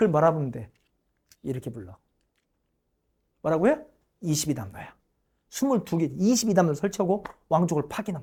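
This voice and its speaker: Fairly brisk delivery carries the speech along. The audio is very clean, and nothing can be heard behind the voice. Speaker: history lecturer. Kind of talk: lecture. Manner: conversational, engaging.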